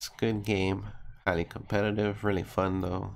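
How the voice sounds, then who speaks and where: A man speaks in an excited tone with vocal fry. His pitch sits fairly low. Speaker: gaming video creator; gaming reaction creator. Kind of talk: reaction video. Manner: casual, excited. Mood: excited, impressed. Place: home room. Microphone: headset.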